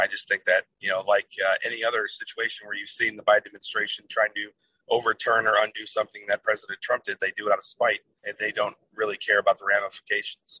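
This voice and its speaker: Talking at a very fast pace, a man speaks in a Midwestern American accent. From Toledo, Ohio, US Midwest. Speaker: political candidate, Air Force veteran. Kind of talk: interview. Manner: hesitant with many fillers. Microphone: cutting in and out.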